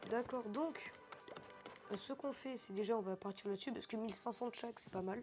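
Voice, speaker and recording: A woman at a fairly high pitch with ordinary variation, a fairly quick pace broken by long, frequent pauses, and music in the background. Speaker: gaming youtuber. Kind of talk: gameplay commentary. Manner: fast; hesitant, many fillers.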